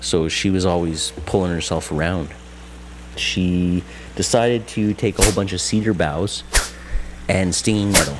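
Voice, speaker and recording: Over noticeable background noise, a man with a very deep, low pitch and ordinary pitch variation speaks with long, frequent pauses. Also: moderate pace. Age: 40s. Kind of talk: interview testimony. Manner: halting, with fillers.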